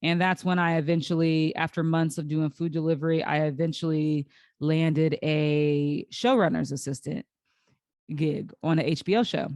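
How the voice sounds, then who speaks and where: Against a quiet background, a woman with a fairly low pitch is heard in a dry, close sound with no echo. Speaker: podcast host. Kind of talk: solo podcast monologue. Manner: slow, halting.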